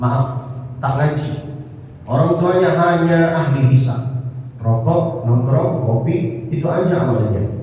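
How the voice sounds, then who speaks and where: There is noticeable noise behind this man's speech, and the room adds audible echo. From Saudi Arabia, Mecca. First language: Arabic (speaking Indonesian). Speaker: Islamic preacher. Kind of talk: sermon.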